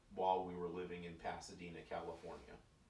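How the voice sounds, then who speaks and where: Audible room echo surrounds a man whose voice is very deep and low in pitch. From Missouri (Joplin). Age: 80s+. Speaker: grandfather interviewed for a school project. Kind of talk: oral history interview.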